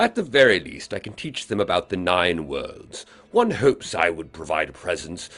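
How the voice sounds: This clip features a natural reading voice.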